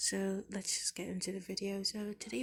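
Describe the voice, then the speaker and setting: Her voice somewhat breathy, a woman speaks at a medium pitch. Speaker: Bible study vlogger. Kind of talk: casual Bible chapter reflection. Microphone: bad audio.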